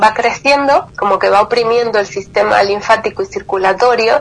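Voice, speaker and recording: There is noticeable background noise. A woman speaks at a fairly high pitch and a moderate pace. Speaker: lipedema patient and advocate. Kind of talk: interview testimony.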